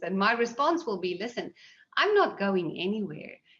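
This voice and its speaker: A woman speaks in a strong South African accent at medium pitch. Her intonation is lively. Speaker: seed industry executive. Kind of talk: panel Q&A.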